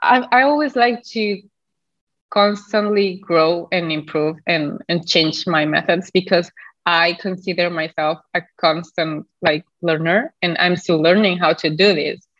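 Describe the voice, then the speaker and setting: A woman with a non-native accent speaks at a fairly slow pace, her fairly low pitch showing ordinary variation. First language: not English. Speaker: health coach. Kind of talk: casual interview chat. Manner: halting, hesitant with fillers.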